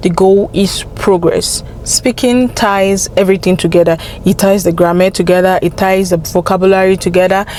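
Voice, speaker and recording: A woman speaks in a monotone, flat intonation. Her loudness stays very even over noticeable background noise. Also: medium pitch for a woman, moderate pace, hardly any pauses. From Nigeria (Yoruba). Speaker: language-learning vlogger. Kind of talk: casual vlog advice.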